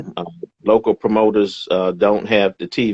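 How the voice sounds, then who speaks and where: A man with an ordinary speaking voice, fairly low in pitch and fairly slow in pace. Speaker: boxing ring announcer. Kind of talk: interview answer. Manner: upbeat, warm, encouraging.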